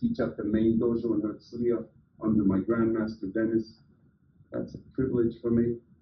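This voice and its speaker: The man's pitch is medium and his voice somewhat breathy. He speaks at a moderate pace. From US, religious immigrant family. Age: 60s. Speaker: business coach and motivational speaker. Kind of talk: motivational talk. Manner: animated.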